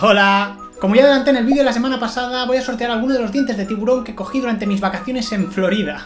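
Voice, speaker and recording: A man talks at a very fast pace with an extremely high pitch and ordinary pitch variation, clear music playing in the background. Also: hardly any pauses. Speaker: vlogger. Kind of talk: casual talk to camera. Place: home room.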